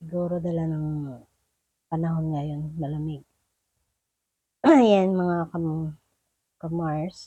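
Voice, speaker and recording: Quiet and dark, mellow in tone, the voice moves at a very slow pace with fairly even intonation and long, frequent pauses. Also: woman, fairly low pitch for a woman. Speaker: cooking vlogger. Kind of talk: cooking tutorial. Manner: casual.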